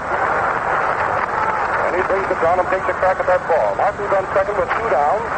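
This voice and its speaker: This man's voice is high for a man and has an excited tone, with noticeable background noise. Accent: American. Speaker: radio sports announcer. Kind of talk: vintage radio baseball play-by-play commentary. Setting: ballpark broadcast booth. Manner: fast, excited, continuous commentary.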